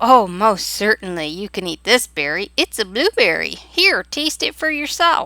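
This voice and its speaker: A woman's put-on character voice at a medium pitch, with hardly any pauses. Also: moderate pace. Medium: read story. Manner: loud, drowsy.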